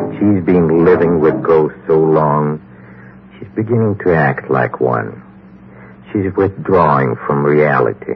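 Very deep, low pitch from a man, dramatic in tone with lively intonation at a very slow pace, with music in the background. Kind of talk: old-time radio horror host narration. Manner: dramatic, teasing.

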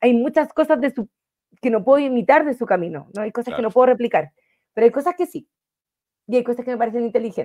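Speaking at a very fast pace but with long, frequent pauses, a woman with a Chilean accent has a high pitch, lively intonation and a dark, mellow tone against a quiet background. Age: 30s. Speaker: financial wellness coach. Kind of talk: interview. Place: home room. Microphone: video call.

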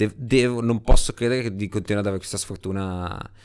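Here a man talks in a normal speaking voice at a fairly quick pace. His intonation stays fairly even. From Genoa, Italy. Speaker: motorcycle racer. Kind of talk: interview storytelling.

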